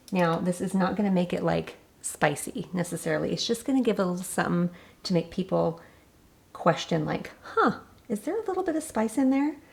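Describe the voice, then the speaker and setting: Noticeable noise fills the background. A woman speaks over it at a fairly quick pace. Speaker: cooking channel host. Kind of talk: cooking tutorial. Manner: casual.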